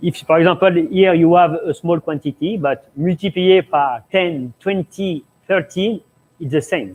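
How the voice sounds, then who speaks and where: Speaking in a French accent, a man with a high pitch goes at a fairly slow pace with ordinary pitch variation. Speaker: pastry chef. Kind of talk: cooking demonstration Q&A. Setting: live stream studio. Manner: halting.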